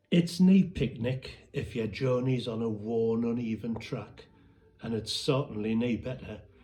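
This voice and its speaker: With a Northumbrian accent, a man speaks at medium pitch and a fairly slow pace. His pitch varies in an ordinary way. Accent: Northumbrian Pitmatic dialect. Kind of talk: poetry reading.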